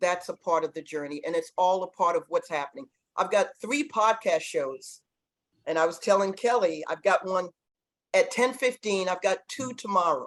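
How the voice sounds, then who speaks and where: A woman talks with a Boston accent at a moderate pace. Her intonation is lively. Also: medium pitch for a woman. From Boston, Massachusetts. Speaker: former pro basketball player and coach. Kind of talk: podcast interview.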